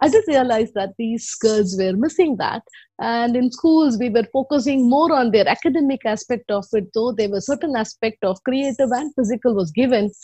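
With lively intonation, a woman talks at a moderate pace in a high pitch. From Chennai, India. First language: Tamil. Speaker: educationist and company founder. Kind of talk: interview answers, reflective.

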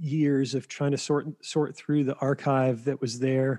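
A man talks with an American accent. His pace is fairly slow. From US South, western North Carolina. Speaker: documentary filmmaker. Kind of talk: interview. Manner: halting, many fillers.

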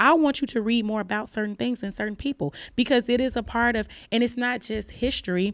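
A woman with an American accent and a fairly high pitch talks at a very fast pace with ordinary pitch variation, on a very clean recording with a silent background. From Chicago, west side. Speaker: literature professor. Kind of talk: casual chat.

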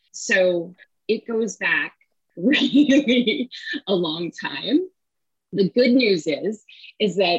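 A somewhat breathy woman's voice with an American accent and very wide pitch swings. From US, San Francisco Bay Area. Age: 50s. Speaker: money coach and author. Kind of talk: interview.

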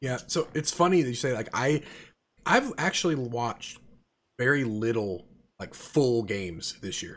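A plain, everyday voice at a moderate pace, with lively intonation and big swings in loudness. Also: man, medium pitch for a man. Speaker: podcast host. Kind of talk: casual chat.

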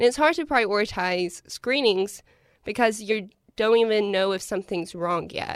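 Speaking with an Appalachian accent at a moderate pace, a woman of medium pitch shows ordinary pitch variation on a very clean recording with a silent background. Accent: Appalachian American. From Eastern Kentucky. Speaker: university student. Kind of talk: interview.

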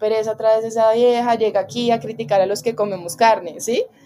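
On a very clean recording with a silent background, a woman with a Bogotá accent speaks fairly quickly at a fairly high pitch, her tone dark and mellow and her intonation fairly even. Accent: Bogotá Colombian Spanish. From Colombia, Bogotá. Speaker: macramé artisan and workshop teacher. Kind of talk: casual interview chat.

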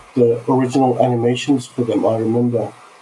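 Through noticeable background noise, a man speaks at a medium pitch. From Australia (Sydney), born in Turkey. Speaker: visionary artist. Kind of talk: casual chat.

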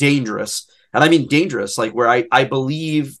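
An unremarkable speaking voice at a moderate pace, with ordinary pitch variation over a quiet background. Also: man. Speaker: podcast host. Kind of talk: casual chat.

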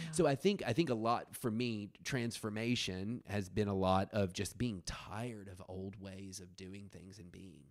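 Animated in tone, a man with an American accent and a fairly low pitch talks with hardly any pauses, ordinary pitch variation and big swings in loudness. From US South, rural West Tennessee. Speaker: dance artist and performance maker. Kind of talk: casual chat.

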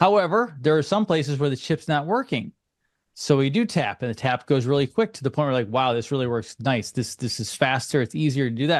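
Here is a man with a plain, everyday voice. His pitch is fairly high, and his intonation is lively. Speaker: alternative health speaker. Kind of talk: radio interview. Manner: conversational, earnest.

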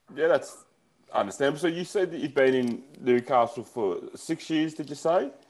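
Moderately paced, a man with a normal speaking voice talks at a fairly high pitch with ordinary pitch variation. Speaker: podcast host. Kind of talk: casual chat.

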